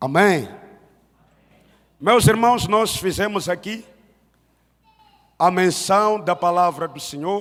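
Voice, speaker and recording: A man with a high pitch and ordinary pitch variation, at a very slow pace with long, frequent pauses. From Mozambique. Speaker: pastor. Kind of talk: sermon. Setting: church service.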